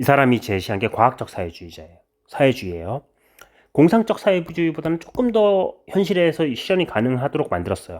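A man speaks fairly quickly with very wide pitch swings, captured on a very clean recording with a silent background. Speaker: history teacher. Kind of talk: lecture. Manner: casual conversational.

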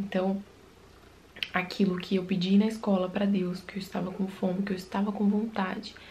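There is light background noise as a woman speaks at a moderate pace. Her medium pitch stays monotone and flat. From Brazil, Ceará interior; Ceará, Brazil. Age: 20s. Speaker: evangelical YouTuber; vlogger. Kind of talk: religious testimony. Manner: informal, conversational. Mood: reflective, heartfelt. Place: home room.

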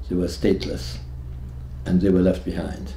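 A man's very deep, low voice with a dark, mellow tone and vocal fry, plus audible room echo and light background noise. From Hungary. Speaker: Holocaust survivor. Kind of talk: testimony. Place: home room.

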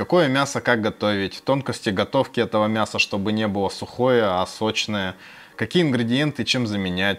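An unremarkable speaking voice moves at a moderate pace with ordinary pitch variation and very even loudness. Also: man. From Khabarovsk, Russia. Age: 30s. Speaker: food and music vlogger. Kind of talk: casual Q&A to camera. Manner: friendly, conversational.

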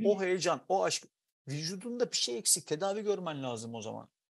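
At a moderate pace, a man speaks in a high pitch with very wide pitch swings. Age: 40s. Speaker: writer; guest. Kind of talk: casual chat. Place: home room. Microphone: earbuds.

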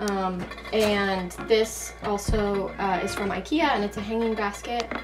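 A woman speaks with fairly even intonation. Clear music plays in the background. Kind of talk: casual vlog chat. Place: bus. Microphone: camera far.

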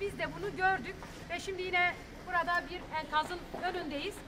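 A woman speaks at an extremely high pitch in a bright, sharp tone. Her intonation stays fairly even at a moderate pace.

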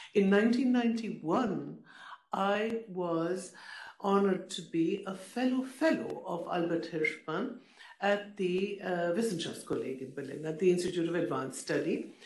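Audible room echo follows a woman whose lively intonation comes at a fairly slow pace. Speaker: panelist. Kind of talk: panel talk, personal recollection. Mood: warm, reflective. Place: hall. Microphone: podium.

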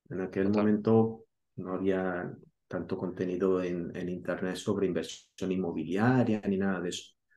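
In a very deep, low pitch, a man speaks with a dark, mellow tone and flat, monotone intonation. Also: moderate pace. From Spain, Granada (Andalusia); Andalusia, Spain. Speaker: real estate investor and YouTuber; YouTuber. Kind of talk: interview. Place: home room.

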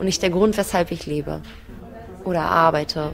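Noticeable background noise surrounds a woman speaking with fairly even intonation. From Germany, Berlin. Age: 20s. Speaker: basic income recipient. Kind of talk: interview testimony.

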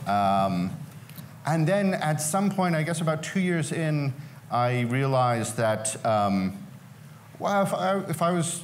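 The pitch swings very widely at a fairly slow pace. Light background noise can be heard. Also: man. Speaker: panelist. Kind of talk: panel talk answer. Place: hall.

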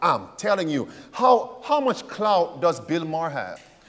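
This is a man speaking. His intonation is lively. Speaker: preacher. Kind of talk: fiery call-and-response sermon railing against mockers. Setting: church. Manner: rhetorical fill-in-the-blank questions to congregation; impassioned, warning tone. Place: studio. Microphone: lapel.

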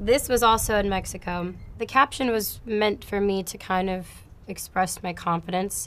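A woman speaks in an unremarkable speaking voice, pitched in the middle. Her speed is moderate and her intonation fairly flat. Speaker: singer and actress. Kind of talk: reflective interview-style commentary on her album.

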